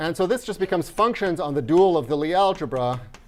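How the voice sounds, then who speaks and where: Talking at a fairly quick pace with lively intonation, a man is heard on a very clean recording with a silent background. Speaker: mathematics lecturer. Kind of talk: lecture. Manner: fast; halting, many fillers.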